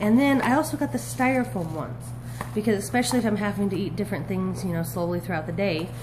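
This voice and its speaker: A woman races through her words at a very fast pace, with noticeable background noise behind her. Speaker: vlogger. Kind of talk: haul video monologue. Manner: animated. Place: kitchen. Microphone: phone near.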